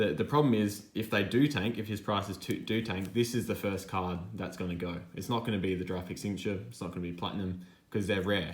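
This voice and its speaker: Audible room echo surrounds a man with an Australian accent who speaks at a fairly quick pace. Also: fairly low pitch for a man, ordinary pitch variation. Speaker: sports card collector, YouTuber. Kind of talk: casual hobby vlog monologue.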